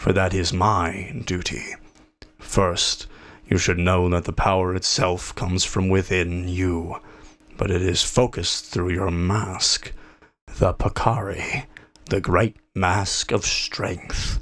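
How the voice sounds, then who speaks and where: A man uses a put-on character voice with a very deep, low pitch. He speaks at a fairly slow pace. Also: fairly even intonation. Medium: read story. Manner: slow, solemn.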